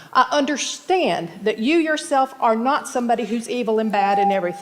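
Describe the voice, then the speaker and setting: A woman talks at a fairly quick pace in a fairly high pitch with lively intonation, noticeable background noise behind her. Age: 60s. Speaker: resident speaking at public comment. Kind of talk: public comment at council meeting. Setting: city council chamber. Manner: impassioned.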